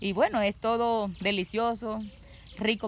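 A woman's voice with fairly even intonation, a dry sound with no echo, and light background noise. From Colombia, Córdoba department (Caribbean coast). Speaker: interviewee describing local customs; interviewee. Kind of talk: casual monologue. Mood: warm, cheerful. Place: garden. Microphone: phone near.

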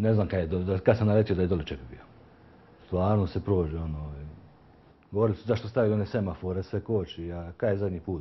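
A very deep, low, somewhat breathy male voice at a very fast pace, with big swings in loudness. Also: ordinary pitch variation. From Croatia, Dubrovnik. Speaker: picture framer and youth handball coach. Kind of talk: street interview. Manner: halting.

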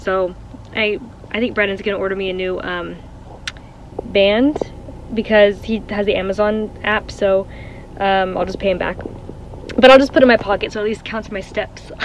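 A woman speaks at a moderate pace with fairly even intonation and long, frequent pauses, the sound dry with no echo and light background noise. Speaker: vlogger. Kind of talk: casual vlog chat. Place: car. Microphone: phone near.

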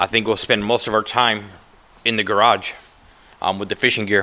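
A man's fairly low voice, bright and sharp in tone, monotone and flat in intonation, at a fairly quick pace. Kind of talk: casual vlog chat. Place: home room. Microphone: phone near.

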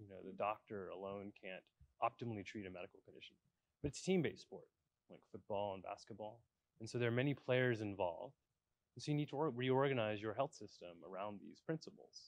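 At a fairly quick pace, a man talks in a dry sound with no echo. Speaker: guest. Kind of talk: interview answer. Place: stage.

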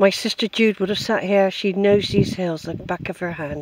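A woman at a moderate pace with fairly even intonation, in a dry sound with no echo over light background noise. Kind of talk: casual vlog chat. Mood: nostalgic, tender. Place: open country. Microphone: phone near.

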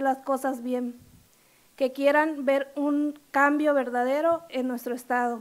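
Her pitch high and her intonation monotone and flat, a woman speaks at a fairly slow pace. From Quintana Roo, Mexico (rural Bacalar); Quintana Roo, Mexico. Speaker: lawyer, judicial candidate; candidate. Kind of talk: formal interview before legislative committee. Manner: formal, with hesitations. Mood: formal, earnest. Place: meeting room. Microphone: podium.

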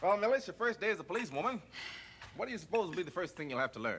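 A man puts on a character voice, very high for a male speaker, racing along at a very fast clip with big swings in pitch and a fairly bright tone over faint background noise.

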